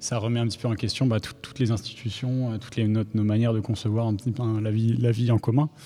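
This man has a dark, mellow tone. His pitch is medium and his pace moderate. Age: 20s. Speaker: environmental professional, debate participant. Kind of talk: panel debate.

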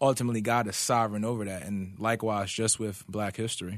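This is a plain, everyday voice: a man of medium pitch with an American accent, ordinary pitch variation and a quiet background. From Philadelphia, US. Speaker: pastoral resident. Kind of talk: casual chat. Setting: studio.

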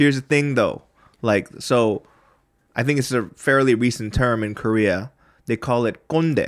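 A man with an American accent at a medium pitch, in a very clean recording with a silent background. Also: ordinary pitch variation, moderate pace. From US West Coast. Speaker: comedian and podcast host. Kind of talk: casual chat. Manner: animated.

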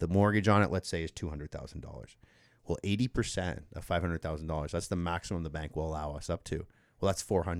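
Over a very clean recording with a silent background, a man speaks at a very fast pace with very deep, low pitch, ordinary pitch variation, and a dry, close sound with no echo. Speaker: mortgage broker. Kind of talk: casual interview. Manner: radio voice.

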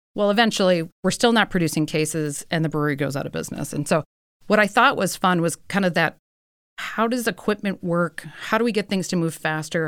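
A woman with an American accent has a plain, everyday voice, speaking fairly quickly at a fairly low pitch with ordinary pitch variation on a very clean recording with a silent background. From US Midwest. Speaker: company founder. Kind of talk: casual interview. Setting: studio.

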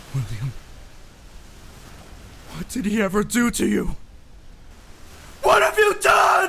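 A man shouts in a put-on character voice, pitched high, at a fairly slow pace. He leaves long, frequent pauses, with clear background noise behind him. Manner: shocked, emotional.

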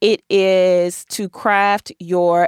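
A woman speaks with an American accent, the sound dry and close with no echo. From US Midwest, Milwaukee. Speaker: podcast host and attorney. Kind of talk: casual monologue, career advice. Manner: conversational with many filler ums.

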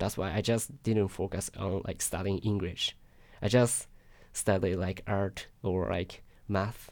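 Fairly low and fairly even intonation from a man with a Japanese accent. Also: fairly slow pace. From Japan, Yokohama. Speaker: international student. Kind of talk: interview. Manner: halting.

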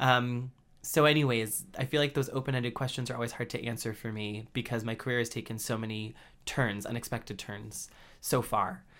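On a very clean recording with a silent background, a man with a normal speaking voice talks at a fairly quick pace, medium pitch and fairly even intonation. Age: 20s. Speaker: media executive, editor. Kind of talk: interview. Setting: podcast studio.

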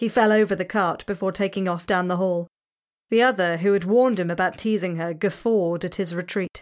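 Behind the speaker, the background stays quiet. The voice is a natural reading voice.

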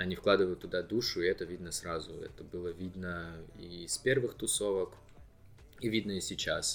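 With music in the background, the man talks at a moderate pace. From Novosibirsk, Akademgorodok (Russia). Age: 20s. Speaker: student. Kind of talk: interview.

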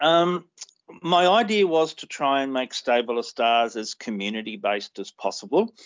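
A man with an Australian accent at a moderate pace, with ordinary pitch variation. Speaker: racing club founder and horse owner. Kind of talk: casual interview.

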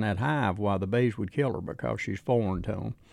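A man is speaking. He has an Appalachian accent. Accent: Appalachian Southern US. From Southwest Virginia mountains. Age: 70s. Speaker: beekeeper. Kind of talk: interview. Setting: outdoor event. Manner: halting.

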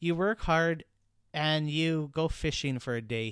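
Speaking at a fairly slow pace with a Western Canadian accent, a man with a fairly high pitch uses ordinary pitch variation on a very clean recording with a silent background. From British Columbia, Canada. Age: 30s. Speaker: podcast host, small business owner. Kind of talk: casual monologue.

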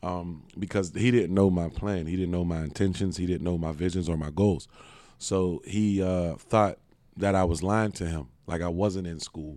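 Here a man speaks with an American accent at a very deep, low pitch. His tone is dark and mellow. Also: fairly even intonation, moderate pace. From Pittsburgh, Pennsylvania. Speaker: business owner on probation. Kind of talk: interview. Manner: halting, many fillers.

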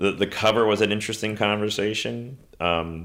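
A plain, everyday voice moves at a moderate pace with lively intonation. The recording is very clean, with a silent background. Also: man. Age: 50s. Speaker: photographer. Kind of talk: casual interview chat. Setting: in person, face-to-face.

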